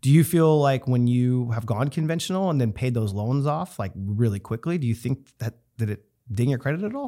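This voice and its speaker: A man's dark, mellow voice at medium pitch, lively in intonation, on a very clean recording with a silent background. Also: fairly quick pace. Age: 30s. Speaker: podcast host and real estate agent. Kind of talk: casual interview.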